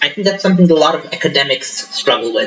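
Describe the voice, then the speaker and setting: A man's voice with ordinary pitch variation, music in the background. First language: not English. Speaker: book reviewer. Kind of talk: casual book review monologue. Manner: halting, many fillers. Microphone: laptop mic, wonky levels, tinny echo.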